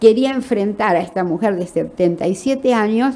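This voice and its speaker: Lively intonation against noticeable background noise. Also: woman. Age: 80s+. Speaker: novelist. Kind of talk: interview.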